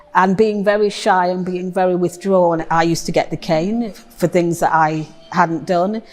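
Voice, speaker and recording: Over noticeable background noise, a woman speaks at a fairly slow pace and medium pitch with ordinary pitch variation. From Nottingham, England. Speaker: poet. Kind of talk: testimony.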